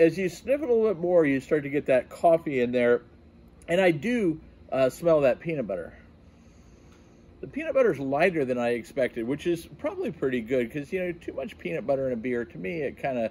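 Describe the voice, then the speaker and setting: A man speaks at a fairly quick pace. His tone is dark and mellow. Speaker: beer reviewer. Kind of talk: casual review vlog. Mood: upbeat, curious. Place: garden.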